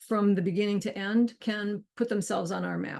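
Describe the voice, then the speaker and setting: Her pitch sits fairly high, with fairly even intonation. This woman is heard against a quiet background. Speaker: co-founder and workshop host. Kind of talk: online workshop demo. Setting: video call with screen share. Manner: fast.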